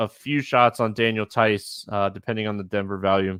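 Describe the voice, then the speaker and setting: His voice sits at a medium pitch. The man is recorded very cleanly against total silence. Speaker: fantasy sports podcast host. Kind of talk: solo podcast analysis. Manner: fast.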